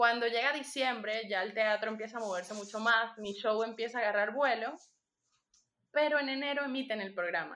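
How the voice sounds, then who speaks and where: In a Venezuelan accent, a woman speaks at a fairly quick pace with a bright, sharp tone, fairly high pitch, and ordinary pitch variation. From Venezuela (Punto Fijo, Falcón). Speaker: magician. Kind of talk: interview.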